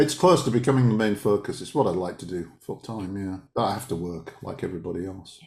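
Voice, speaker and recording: Very fast, nearly pause-free speech, somewhat breathy, with big swings in loudness and ordinary pitch variation. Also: man, fairly low pitch for a man. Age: 60s. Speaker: author and dowser. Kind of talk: casual interview chat. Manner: hesitant, many repetitions.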